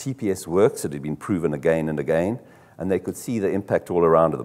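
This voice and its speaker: A man's very deep, low pitch with vocal fry and a dark, mellow tone, at a fairly quick pace. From South Africa. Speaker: car dealership executive; conference presenter. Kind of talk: conference talk. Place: hall.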